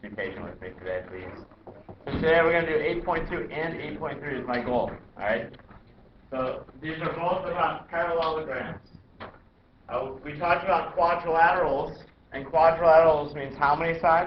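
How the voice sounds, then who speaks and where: Someone speaks at a moderate pace with ordinary pitch variation and big swings in loudness, with audible room echo and noticeable background noise. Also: man, fairly high pitch for a man. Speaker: math teacher. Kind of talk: classroom lecture.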